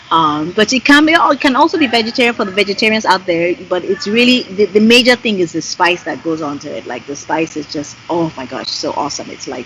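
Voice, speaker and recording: A woman's animated, medium-pitched voice in a Yoruba accent at a fairly quick pace, with very wide pitch swings and noticeable background noise. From Nigeria. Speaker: singer and graphic designer. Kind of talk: interview conversation. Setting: Skype call.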